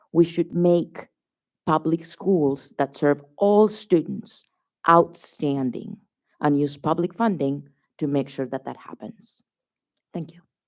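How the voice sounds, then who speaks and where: A woman talks at a very slow pace with long, frequent pauses and big swings in loudness. Her pitch is very deep and low, with ordinary variation. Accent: Colombian. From Colombia. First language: Spanish. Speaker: sociologist testifying at public hearing. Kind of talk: public hearing testimony. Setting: public hearing venue with audience.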